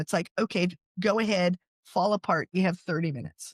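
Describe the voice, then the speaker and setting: In a very clean recording with a silent background, a woman with an American accent uses a normal speaking voice, medium pitch and ordinary pitch variation. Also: dry, close sound with no echo. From US South, coastal North Carolina. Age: 60s. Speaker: author and podcast host. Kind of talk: interview.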